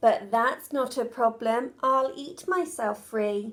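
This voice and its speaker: Bellowing in a put-on character voice, a woman speaks at a fairly slow pace with a high pitch. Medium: read story. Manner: roaring, greedy.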